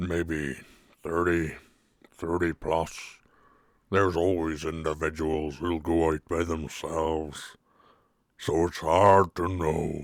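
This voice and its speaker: A man's put-on character voice, very deep and low, monotone and flat, at a very slow pace with long, frequent pauses, on a very clean recording with a silent background. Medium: actual play. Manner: slow, relaxed.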